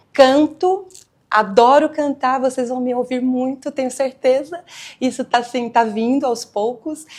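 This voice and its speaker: The speaker has a São Paulo accent and a fairly slow pace. The intonation stays fairly even. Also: woman, high pitch for a woman. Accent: São Paulo Brazilian Portuguese. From São Paulo area, Brazil. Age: 50s. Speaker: singer and cultural worker. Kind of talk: documentary interview.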